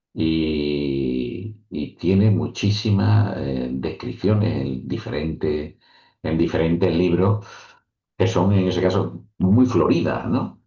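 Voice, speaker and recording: This man's very deep, low voice is somewhat breathy and dark and mellow in tone, moving at a very slow pace with very wide pitch swings. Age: 60s. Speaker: author and professor. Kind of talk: interview.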